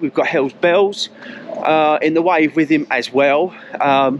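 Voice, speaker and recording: This man's voice sounds dry with no echo, over light background noise. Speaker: running vlogger. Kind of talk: casual vlog chat. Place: street. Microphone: phone near.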